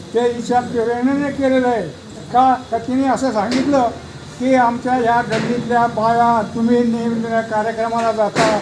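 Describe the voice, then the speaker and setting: Against noticeable background noise, a man talks at an extremely high pitch, his loudness very even and his intonation monotone and flat. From Yeola, Maharashtra, India. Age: 80s+. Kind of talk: speech at a community event.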